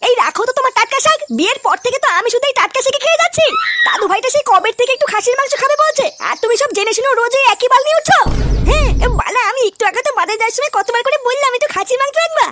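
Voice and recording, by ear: A woman in a put-on character voice speaks very fast with few pauses, using an extremely high pitch, a bright, sharp tone and lively intonation.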